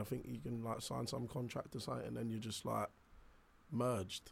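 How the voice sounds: Vocal fry at a moderate pace. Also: man.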